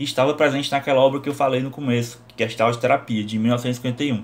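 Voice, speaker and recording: A man speaks at a very fast pace in a medium pitch. His intonation stays fairly even. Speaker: psychology teacher. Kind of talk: lecture.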